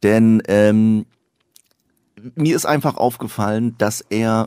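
Recorded very cleanly over a silent background, the dry, close sound with no echo carries a very slow pace and ordinary pitch variation. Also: man. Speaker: satirist, author and actor. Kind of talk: casual chat.

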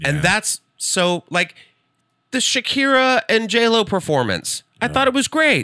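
A man's raised, projected voice with an American accent, high pitched, bright and sharp, animated and playful, with very wide pitch swings at a fairly slow pace, dry with no echo over a quiet background. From Texas (San Antonio); Texas. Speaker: comedian. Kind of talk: casual chat. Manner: animated, playful. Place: studio. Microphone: studio mic.

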